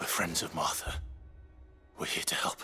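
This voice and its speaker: A man whispering in a put-on character voice at a moderate pace, with music in the background. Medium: video game. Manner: low, restrained.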